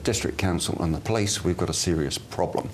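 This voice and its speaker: Quick-paced and very deep, a man talks with a slight English accent at a very low pitch and a fairly quick pace. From England, Bath. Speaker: mayoral candidate. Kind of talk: TV interview.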